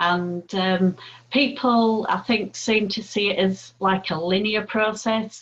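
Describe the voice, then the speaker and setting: This woman has an ordinary speaking voice with ordinary pitch variation. She talks at a fairly slow pace. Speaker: podcast host. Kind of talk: casual interview.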